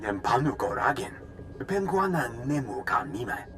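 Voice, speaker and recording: A man performs a put-on character voice, medium in pitch and moderate in pace, with clear background noise behind him. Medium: video game. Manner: speaks in alien language.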